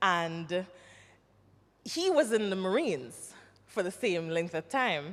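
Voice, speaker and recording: A woman with a Jamaican accent talks at a very slow pace with lively intonation. She leaves long, frequent pauses. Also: medium pitch for a woman. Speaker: actress and former nurse, army veteran. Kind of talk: panel interview. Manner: animated.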